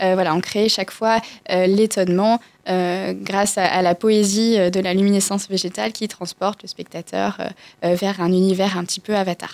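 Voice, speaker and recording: At a fairly slow pace, a woman speaks at medium pitch in a flat, monotone way. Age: 20s. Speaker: entrepreneur. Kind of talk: radio interview. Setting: radio studio.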